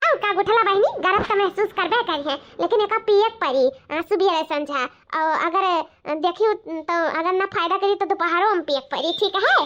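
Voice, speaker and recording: A woman performs a squeaky, cartoonish character voice at an extremely high pitch. She moves at a fairly quick pace with ordinary pitch variation. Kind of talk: comic rural cartoon acting. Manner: sweet-talking, scheming.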